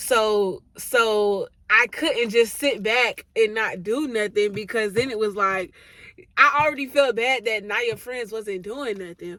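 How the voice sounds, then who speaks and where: A loud, animated woman's voice, fairly high in pitch, with a bright, sharp tone. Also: ordinary pitch variation. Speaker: YouTuber. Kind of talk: casual chat.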